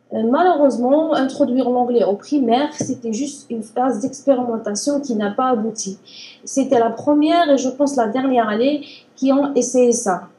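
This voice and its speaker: A high-pitched woman at a moderate pace, with noticeable background noise. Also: ordinary pitch variation. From Algeria. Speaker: language learner. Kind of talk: interview.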